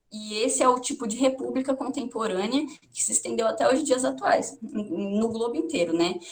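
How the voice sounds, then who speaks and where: A woman's high-pitched voice at a moderate pace with lively intonation. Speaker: teacher. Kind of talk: lecture. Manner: halting.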